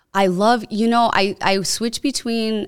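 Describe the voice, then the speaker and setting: An American accent on a dry, close sound with no echo, in a very clean recording with a silent background. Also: woman. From Chicago area, US (Cicero). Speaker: tech startup founder and lawyer. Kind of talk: casual interview chat. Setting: podcast studio.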